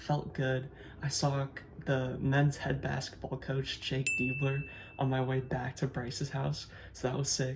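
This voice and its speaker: Over noticeable background noise, a man speaks in a medium pitch at a moderate pace with monotone, flat intonation. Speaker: runner vlogger. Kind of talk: vlog narration.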